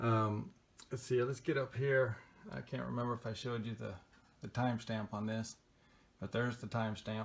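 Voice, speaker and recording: Here a man talks at a medium pitch and fairly quick pace, his intonation fairly even. Long pauses come often. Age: 60s. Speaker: vlogger narrating own dispute footage. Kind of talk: casual video commentary. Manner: halting, with many fillers.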